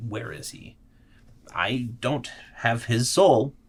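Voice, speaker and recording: Putting on a growling character voice, a man speaks at a medium pitch and a very slow pace. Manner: growling, menacing.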